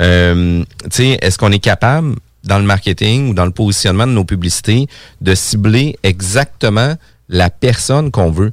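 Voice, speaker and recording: A man with a normal speaking voice talks fairly slowly. His pitch is fairly low, with ordinary variation. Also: very clean recording, silent background. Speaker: radio host and real estate broker. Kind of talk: radio interview.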